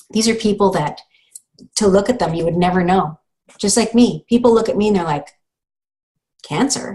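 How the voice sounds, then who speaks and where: A woman with a Canadian accent speaks at a medium pitch with ordinary pitch variation and a dark, mellow, somewhat breathy tone. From Canada, Thunder Bay Ontario. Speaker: breast cancer survivor and show host. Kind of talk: inspirational monologue. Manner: animated.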